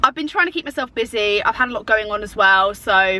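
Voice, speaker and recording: Her English accent comes through as this woman talks. She speaks at a fairly quick pace with a fairly high pitch. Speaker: YouTuber. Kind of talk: casual chat. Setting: in a car. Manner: chatty.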